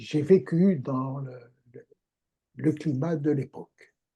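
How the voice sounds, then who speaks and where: A man's somewhat breathy, fairly high voice with a dark, mellow tone, fairly even intonation and a very slow pace. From Algeria. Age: 80s+. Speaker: materials scientist. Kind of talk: interview. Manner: halting, repeats words.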